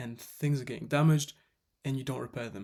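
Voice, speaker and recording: A man's very fast, monotone delivery, medium in pitch, dark and mellow in tone, with a non-native accent. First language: not English. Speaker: fitness coach. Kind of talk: tutorial. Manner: casual, self-correcting.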